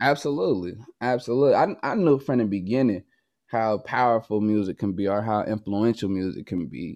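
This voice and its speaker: Against a quiet background, a man talks at a fairly quick pace. His pitch is fairly low, with ordinary variation. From Oakland, California. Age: 20s. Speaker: musician and producer, formerly incarcerated. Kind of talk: interview conversation.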